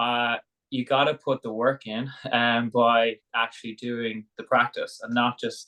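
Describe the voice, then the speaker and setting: The speaker has an Irish accent and a monotone, flat intonation. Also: man. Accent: Irish brogue. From Ireland, Dublin. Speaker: sauna business founder, former rugby player. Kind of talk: interview conversation.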